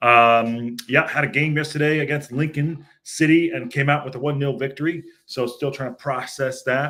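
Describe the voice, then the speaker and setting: In a bright, sharp tone, a man talks, his pitch varying in an ordinary way. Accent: American. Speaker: football podcast host. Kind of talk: casual podcast monologue. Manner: hesitant, many fillers.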